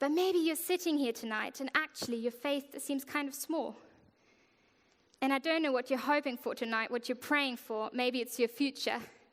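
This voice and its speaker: A woman with a German accent, high pitch, ordinary pitch variation and a moderate pace. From Germany. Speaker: worship leader. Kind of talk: sermon.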